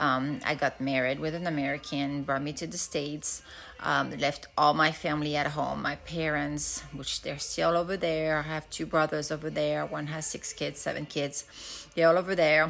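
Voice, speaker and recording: In a French accent, a woman speaks in a very deep, low voice with monotone, flat intonation. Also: moderate pace. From France. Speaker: nurse turned financial advisor. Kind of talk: casual self-introduction. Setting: storage room at home. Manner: hesitant, many fillers.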